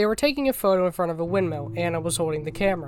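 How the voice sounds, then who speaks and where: A woman speaks with a fairly low pitch. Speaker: YouTuber explaining a web series. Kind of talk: video essay explanation. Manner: casual, with filler words.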